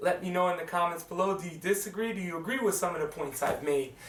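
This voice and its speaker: A man's speech comes through amid noticeable background noise, with audible echo from the room. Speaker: movie reviewer. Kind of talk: casual video review. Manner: casual, halting.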